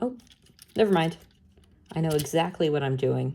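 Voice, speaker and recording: A woman with a very deep, low pitch and a dark, mellow tone speaks with lively intonation and vocal fry. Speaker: voice actor. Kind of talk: casual toy unboxing and review talk.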